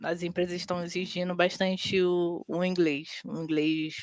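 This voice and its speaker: A woman speaks very slowly in a fairly low voice with monotone, flat intonation. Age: 30s. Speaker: tech team leader. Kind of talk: casual interview chat.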